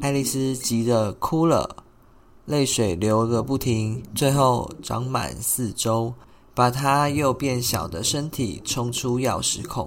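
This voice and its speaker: The speech moves at a very slow pace, carried by a soothing, gentle tone. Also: man, medium pitch for a man, ordinary pitch variation. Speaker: podcast host, story narrator. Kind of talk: bedtime fairy-tale narration, read aloud. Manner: soothing, gentle, even-paced storytelling.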